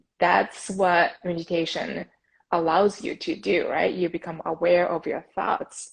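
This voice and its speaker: A woman speaks with a Japanese accent. Her pace is fairly slow. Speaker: podcast host, meditation advocate. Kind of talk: interview. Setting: Instagram live video call.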